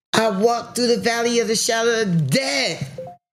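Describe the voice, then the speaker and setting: With an American accent and vocal fry, a woman speaks at a fairly high pitch, her pitch swinging very widely. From US South, South Carolina. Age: 60s. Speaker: cancer survivor. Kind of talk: testimony. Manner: animated.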